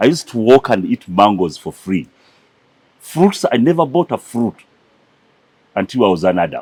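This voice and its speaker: Recorded dry and close with no echo, a man of medium pitch speaks at a moderate pace with very wide pitch swings and long, frequent pauses. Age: 60s. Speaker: conservation leader. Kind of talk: interview.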